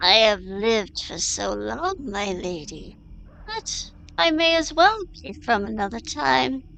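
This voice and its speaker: At a fairly slow pace, a female-sounding voice does a put-on character voice at medium pitch for a woman, with light background noise. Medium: audio drama. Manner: calm, measured, gentle.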